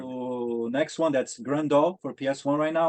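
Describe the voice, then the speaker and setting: At a fairly quick pace, a man with a Portuguese accent speaks at a medium pitch with fairly even intonation. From Brazil. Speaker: maker of game reproductions. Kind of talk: interview. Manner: halting.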